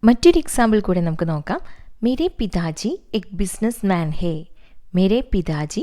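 The recording is very clean, with a silent background. A woman speaks at medium pitch in a dark, mellow tone. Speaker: Hindi teacher on a video channel. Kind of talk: tutorial.

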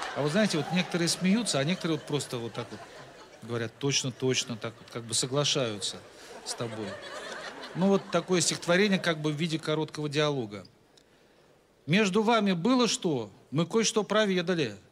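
Over noticeable background noise, a man talks at a fairly quick pace with very wide pitch swings. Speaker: comic poet. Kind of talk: stand-up comic verse reading. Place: stage. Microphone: handheld.

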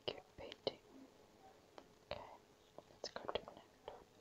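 Someone whispers at a moderate pace. Long pauses come often. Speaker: ASMR creator. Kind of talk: ASMR whispering. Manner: whispering. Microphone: phone near.

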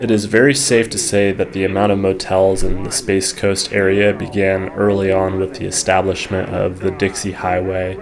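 A man talks with a fairly low pitch. Music plays in the background. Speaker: history vlogger narrating. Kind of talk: documentary narration. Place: studio.

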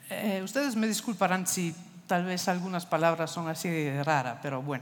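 A woman with an Italian accent talks at a moderate pace with lively intonation. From Italy. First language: Italian (speaking Spanish). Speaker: architecture foundation director; speaker. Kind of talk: lecture. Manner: halting, many fillers. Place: stage. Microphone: headset.

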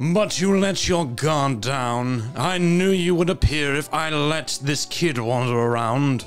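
Clear music plays in the background. A man speaks fairly slowly at a fairly high pitch. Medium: game stream. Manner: menacing, gloating, comically petulant.

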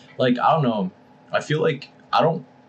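At a moderate pace, a man talks with light noise in the background. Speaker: podcast co-host. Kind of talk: casual podcast conversation. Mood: relaxed, laughing. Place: home room.

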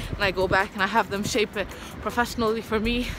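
Music plays in the background as a woman speaks at a fairly quick pace. Her intonation is fairly even, and the sound is dry with no echo. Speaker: vlogger. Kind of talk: casual vlog chat. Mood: cheerful, laughing. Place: street. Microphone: phone near.

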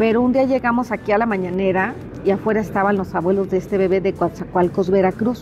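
A woman speaks very fast at a medium pitch, her intonation fairly even and her loudness very even. Faint music plays in the background. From Mexico, Tampico, Tamaulipas; Tamaulipas, Mexico. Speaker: journalist. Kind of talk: interview. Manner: halting, many fillers. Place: hall.

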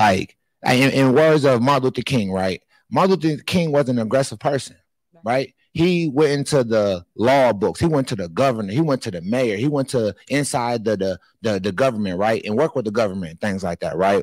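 This is a man with an American accent. The sound is dry with no echo, over a quiet background. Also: moderate pace. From US Midwest. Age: 30s. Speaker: nonprofit founder; panelist. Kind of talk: panel discussion. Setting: stage with audience. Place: hall. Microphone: handheld.

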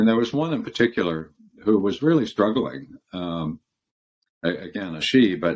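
A man with an American accent talks at a fairly quick pace. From US, California and Michigan. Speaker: former law firm partner and leadership consultant; interview guest. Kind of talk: interview. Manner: halting. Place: home room. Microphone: video call.

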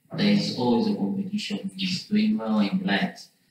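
The voice moves at a very slow pace with lively intonation, under strong room echo. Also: man. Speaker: student. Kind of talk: class discussion. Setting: classroom. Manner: halting. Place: classroom. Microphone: camera far.

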